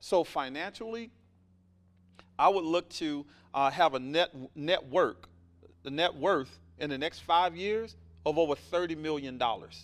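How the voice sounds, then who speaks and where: A man with a Southern US accent, fairly high in pitch with ordinary pitch variation, in an animated tone at a fairly slow pace with long, frequent pauses, in a very clean recording with a silent background. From US South, Alabama. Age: 40s. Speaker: entrepreneur and mentor. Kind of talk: podcast interview.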